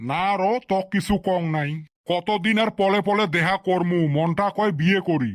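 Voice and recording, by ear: This man puts on a cartoonish character voice, pitched high. He keeps a moderate pace and fairly even intonation.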